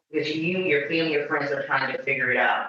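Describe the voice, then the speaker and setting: The room echo is audible. Over it, a man talks in a fairly high register. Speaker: patient advocacy organization representative. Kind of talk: informational presentation.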